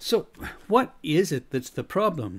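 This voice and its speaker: With an American accent, a man talks at a fairly slow pace using lively intonation. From USA. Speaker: leadership coach and podcaster. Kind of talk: scripted podcast monologue.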